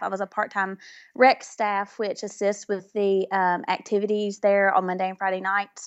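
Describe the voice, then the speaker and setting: A woman speaks with a Southern US accent. Her pitch sits fairly high. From Mississippi, US South. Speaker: music therapist. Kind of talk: interview chat. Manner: halting, filler words.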